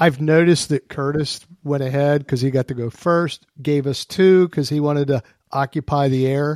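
In a very clean recording with a silent background and a dry, close sound with no echo, a man with a fairly high pitch speaks at a moderate pace in a normal speaking voice, his intonation fairly even. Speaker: podcast host, deterrence analyst. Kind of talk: casual expert discussion.

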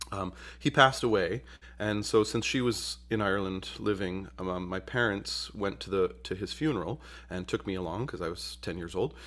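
A man with an American accent speaks in a very deep, low voice with vocal fry. His pace is moderate, and the recording is very clean with a silent background. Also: lively intonation. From central New York, Utica. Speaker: bagpipe musician and instructor. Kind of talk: interview.

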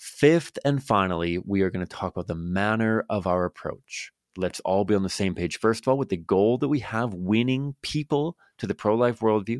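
In a very clean recording with a silent background, a man's fairly low voice comes through dry and close with no echo. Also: lively intonation. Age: 30s. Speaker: podcast host, pro-life advocate. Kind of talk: solo instructional podcast monologue. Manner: fast; hesitant, many fillers.

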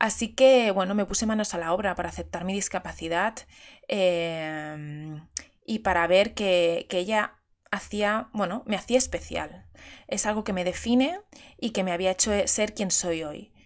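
On a very clean recording with a silent background, a woman speaks at a fairly slow pace in a medium pitch with ordinary pitch variation. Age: 30s. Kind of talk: personal monologue. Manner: halting.

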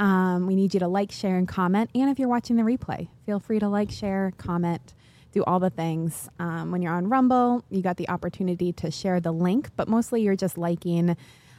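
A woman speaks in a dark, mellow tone, recorded very cleanly against a silent background with a dry, close sound and no echo. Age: 20s. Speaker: podcast co-host and producer. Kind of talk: announcements to live stream audience. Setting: studio with live stream.

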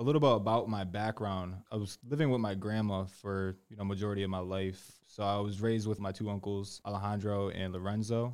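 A normal speaking voice with an American accent moves at a fairly quick pace and keeps a fairly even intonation. The recording is very clean and the background silent. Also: man, fairly low pitch for a man. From Connecticut, US. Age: 20s. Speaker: salesperson. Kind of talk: interview.

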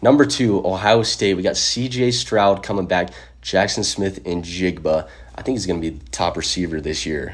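A man with a very deep, low pitch and lively intonation, with an American accent. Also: moderate pace. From Utah. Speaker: sports podcast host. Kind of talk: casual chat.

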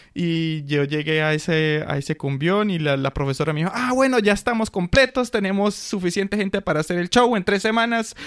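A man's high-pitched voice at a fairly quick pace with hardly any pauses, over noticeable background noise. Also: lively intonation. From Colombia. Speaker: school social worker. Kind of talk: casual interview.

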